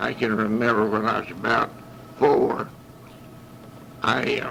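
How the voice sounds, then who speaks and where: A man with a Southern US accent against noticeable background noise. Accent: Southern US rural. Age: 80s+. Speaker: war veteran. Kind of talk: oral history recording. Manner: halting.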